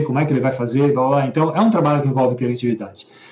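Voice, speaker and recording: Medium pitch, a dark, mellow tone and ordinary pitch variation in a man's voice. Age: 50s. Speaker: book club host, musician and tech worker. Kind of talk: casual chat. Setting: live stream. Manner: hesitant, repetitive.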